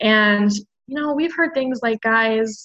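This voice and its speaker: A woman with an American accent and a plain, everyday voice, fairly high in pitch, at a moderate pace. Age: 20s. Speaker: podcast guest. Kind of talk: casual chat.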